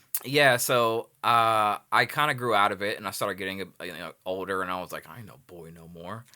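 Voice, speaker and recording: A man with a slight Southern US accent speaks at a fairly quick pace with hardly any pauses, his fairly low voice bright and sharp, with ordinary pitch variation and big swings in loudness on a very clean recording with a silent background. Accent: slight Southern twang. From Los Angeles, California. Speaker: music producer and videographer. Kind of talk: casual interview chat. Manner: animated, full of fillers.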